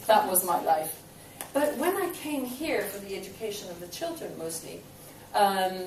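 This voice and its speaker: A woman at medium pitch talks at a moderate pace, with very wide pitch swings and big swings in loudness. Audible room echo and noticeable background noise surround her. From Belgium. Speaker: property investor. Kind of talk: talk to an audience. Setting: stage with audience. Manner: halting.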